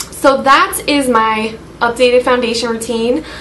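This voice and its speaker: There is audible room echo in this recording, along with noticeable background noise. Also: woman. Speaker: beauty vlogger. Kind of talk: makeup tutorial. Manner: monotone; casual, hesitant with fillers.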